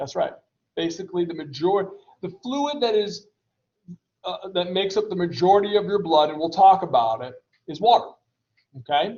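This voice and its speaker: This man has a high pitch with ordinary pitch variation. He talks at a moderate pace. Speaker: college anatomy and physiology instructor. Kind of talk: lecture. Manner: casual, with many fillers.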